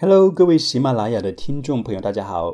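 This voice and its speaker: Very wide pitch swings mark this man's dark, mellow tone. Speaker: English pronunciation teacher. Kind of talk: podcast monologue lesson.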